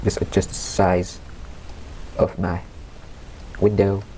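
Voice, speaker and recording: A man talks over noticeable background noise. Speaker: tech tutorial youtuber. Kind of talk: screen-recorded software tutorial. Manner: casual, halting with fillers.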